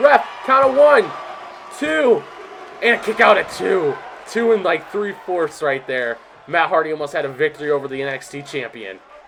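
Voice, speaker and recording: Over noticeable background noise, a man with fairly high pitch speaks at a moderate pace in an animated tone with very wide pitch swings. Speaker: video game commentator. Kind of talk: live commentary.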